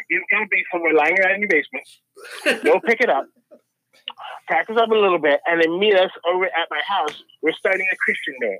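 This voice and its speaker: A man with an American accent uses a high voice and ordinary pitch movement. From US Midwest (Ottumwa, Iowa). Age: 40s. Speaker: musician and comedian. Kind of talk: casual chat. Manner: animated.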